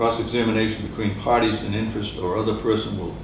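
A fairly low male voice, flat and monotone at a fairly quick pace, with noticeable background noise and audible room echo. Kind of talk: formal procedural reading. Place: meeting room. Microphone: camera far.

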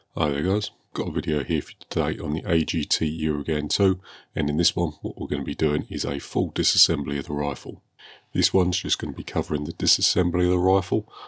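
At a very fast pace, the voice keeps fairly even intonation against a quiet background. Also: man, very deep, low pitch for a man. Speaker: airgun hobbyist. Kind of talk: tutorial narration. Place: workshop.

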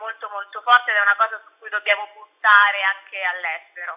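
The woman's pitch is fairly high and her pace fairly quick. The background is quiet. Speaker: journalist and blogger. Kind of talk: radio interview, casual chat. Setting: online radio interview. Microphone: phone near.

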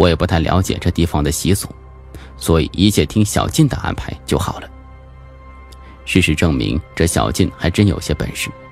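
Over music in the background, a man with a very deep, low voice talks with lively intonation, leaving long, frequent pauses. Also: moderate pace. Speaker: audiobook narrator. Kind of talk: audiobook narration of a horror suspense novel. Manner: varied, expressive delivery.

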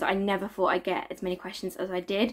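There is a quiet background behind the woman talking. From South East England. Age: 20s. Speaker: family vlogger. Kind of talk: casual talk to camera. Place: home room.

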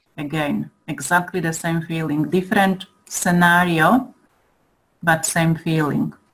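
A woman with a fairly low pitch talks at a fairly slow pace, somewhat breathy, her intonation fairly even. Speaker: listener. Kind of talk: Q&A session. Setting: online call.

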